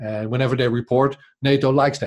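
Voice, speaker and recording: A man talks with a Dutch accent at a moderate pace. His intonation is fairly even over a quiet background. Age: 40s. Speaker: podcast journalist. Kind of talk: interview conversation. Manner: halting, many repetitions.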